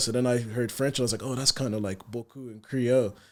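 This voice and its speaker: Monotone, flat intonation at a very fast pace. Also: man. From Ireland, partly Sierra Leone. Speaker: rapper. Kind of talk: podcast interview. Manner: soft-spoken.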